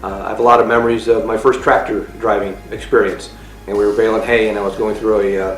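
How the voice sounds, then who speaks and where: A man talks at a very fast pace. Music plays in the background and the room echo is audible. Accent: American. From Illinois, rural. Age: 50s. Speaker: agriculture teacher. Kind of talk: interview testimony.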